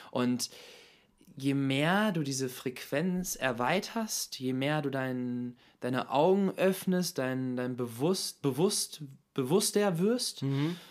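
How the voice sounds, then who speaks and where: A man's fairly high, lively voice at a very slow pace, on a very clean recording with a silent background. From Hannover, northern Germany. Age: 20s. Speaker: model and philosophy student. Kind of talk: casual chat.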